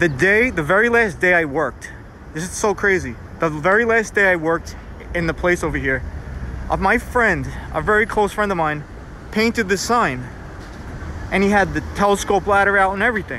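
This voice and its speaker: At a fairly quick pace, the voice comes through dry with no echo over light background noise. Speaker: graffiti tour narrator. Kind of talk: casual vlog chat. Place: street. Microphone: phone near.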